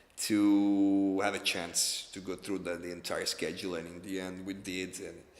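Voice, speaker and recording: In an Italian accent, a man talks at a fairly low pitch with monotone, flat intonation, and the room echo is audible. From Italy, Rome. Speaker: film director. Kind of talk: interview. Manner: halting, with many repetitions and fillers.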